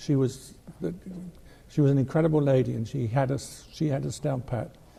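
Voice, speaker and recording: A man's somewhat breathy, dark and mellow voice at medium pitch, moving at a fairly quick pace. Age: 70s. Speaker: model railroad club historian. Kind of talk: radio interview. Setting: studio.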